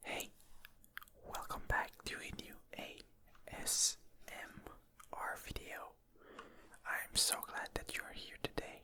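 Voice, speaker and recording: Whispering at a very slow pace, a man leaves long, frequent pauses, and his loudness swings widely. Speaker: ASMR gaming creator. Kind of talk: relaxed rambling commentary over gameplay. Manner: whispered; soft-spoken, slow.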